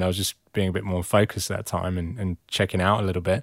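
With an English accent, a man talks at a very fast pace in a fairly low voice on a very clean recording with a silent background. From England. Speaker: founder of a men's support group. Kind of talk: casual chat. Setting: studio.

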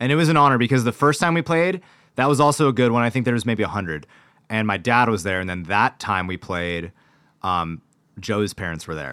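Recorded very cleanly against a silent background, a man with an American accent talks at a fairly quick pace and medium pitch, his bright, sharp tone sweeping through very wide pitch swings. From Washington State, US Pacific Northwest. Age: 20s. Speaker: pop-punk musician. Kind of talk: casual chat. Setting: studio.

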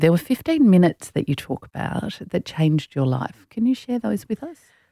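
Dry and close with no echo, a woman in an Australian accent speaks at a fairly quick pace in a dark, mellow tone, fairly low in pitch with very wide pitch swings. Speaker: podcast host and executive coach. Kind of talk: interview. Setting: studio.

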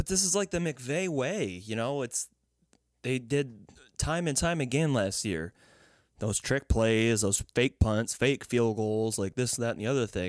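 A man at a medium pitch talks at a fairly slow pace with lively intonation, and the sound is dry and close with no echo. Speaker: sports podcast co-host, football fan. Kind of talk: casual chat. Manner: animated, laughs often.

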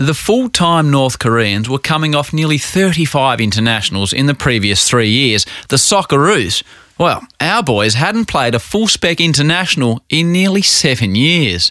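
Bright, sharp tone with an Australian accent, very wide pitch swings, very even loudness and a moderate pace. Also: man, fairly high pitch for a man. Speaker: podcast host and narrator. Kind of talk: scripted narration with interview.

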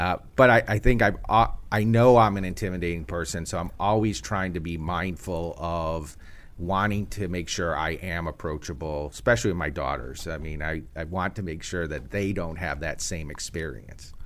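In an American accent, a man with a very deep, low pitch talks at a moderate pace with vocal fry and ordinary pitch variation. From Chicago, US Midwest. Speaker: tech company executive. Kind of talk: interview.

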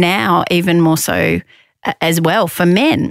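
Speaking in an Australian accent, a woman has a fairly low pitch. The sound is dry and close, with no echo. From Australia, Victoria. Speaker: sex discrimination commissioner, former lawyer. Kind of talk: interview.

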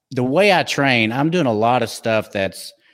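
A man with a slight Texas accent speaks at a medium pitch with lively intonation. The recording is very clean, and the background is silent. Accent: slight Texas twang. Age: 50s. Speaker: fitness trainer and podcast co-host. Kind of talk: casual chat.

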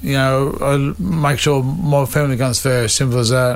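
Fairly even intonation runs through the clip, with noticeable background noise behind it. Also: man. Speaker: stuntman and racer. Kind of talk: casual interview chat. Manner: halting.

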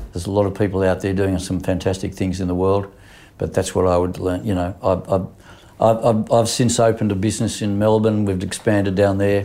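A man with an Australian accent speaks at a fairly quick pace. His fairly low voice has a dark, mellow tone and monotone, flat intonation. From Australia, Sydney. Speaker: insurance broker and businessman. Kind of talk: interview. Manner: halting, with frequent fillers.

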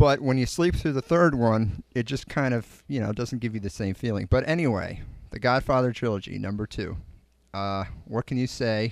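In an American accent, a man with an unremarkable speaking voice talks at a moderate pace and medium pitch on a very clean recording with a silent background. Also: ordinary pitch variation. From Connecticut. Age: 20s. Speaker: podcast host. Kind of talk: casual chat.

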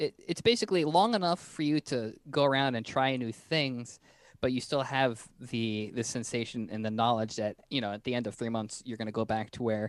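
A man's plain, everyday voice at a moderate pace, medium in pitch with ordinary pitch variation, on a very clean recording with a silent background. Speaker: podcast host. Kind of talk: interview.

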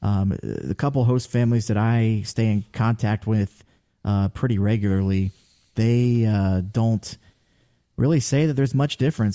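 A man speaks with an American accent in a dark, mellow tone, his pitch varying in an ordinary way, and the sound is dry and close with no echo. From Ohio. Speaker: minor league baseball play-by-play broadcaster. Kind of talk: casual interview.

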